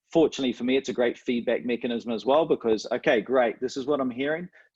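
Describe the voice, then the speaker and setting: With a New Zealand accent, a man speaks at a very fast pace. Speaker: coach mentor. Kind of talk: webinar interview.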